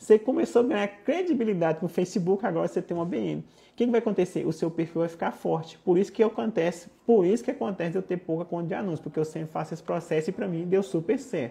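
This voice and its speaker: Speaking at a very fast pace, a man leaves hardly any pauses. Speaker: digital marketing instructor. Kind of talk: live stream tutorial. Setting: live stream. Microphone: lapel.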